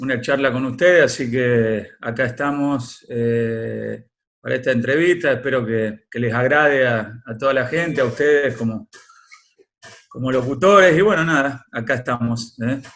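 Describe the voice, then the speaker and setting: His pace is fairly slow as the man talks. The pitch sits in the medium range and varies in an ordinary way. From Argentina, Córdoba province. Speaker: former footballer. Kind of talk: interview. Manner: hesitant, many fillers.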